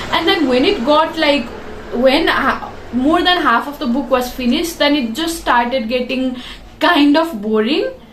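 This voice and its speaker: A woman with a high pitch and an animated tone speaks at a fairly slow pace with ordinary pitch variation. Audible room echo and noticeable background noise fill the recording. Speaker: book reviewer. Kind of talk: casual review video. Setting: bedroom.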